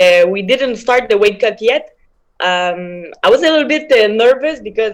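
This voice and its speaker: A woman with a strong French accent speaks at a moderate pace and a fairly high pitch. Her intonation is lively. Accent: big French. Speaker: MMA fighter. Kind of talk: interview. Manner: hesitant, many fillers.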